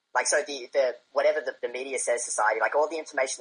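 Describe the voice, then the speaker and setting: A man with an Australian accent, at a very fast pace. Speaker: debate guest. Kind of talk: debate.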